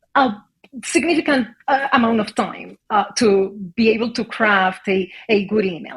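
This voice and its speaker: A woman at a very slow pace, fairly high in pitch, with lively intonation. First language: not English. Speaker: HR executive. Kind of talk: interview. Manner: halting, many fillers.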